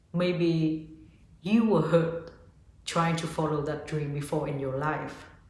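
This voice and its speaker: A Vietnamese accent at a fairly slow pace, over noticeable background noise. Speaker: yoga teacher and spiritual vlogger. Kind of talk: casual motivational talk to camera.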